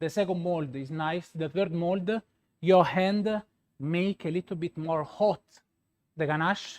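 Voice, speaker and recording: Heard in a dry, close recording with no echo, a man with a Roman accent and a high voice speaks with fairly even intonation and long, frequent pauses. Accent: Roman Italian. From Italy, Rome. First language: Italian. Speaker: pastry chef. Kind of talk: live product demonstration. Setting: demo laboratory, live stream. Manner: hesitant, many filler sounds.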